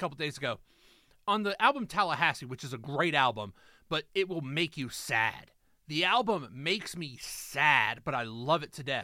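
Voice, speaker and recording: A man speaks loudly with a bright, sharp tone and very wide pitch swings at a moderate pace. The recording is very clean, with a silent background. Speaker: podcast co-host. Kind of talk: casual chat. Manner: intense.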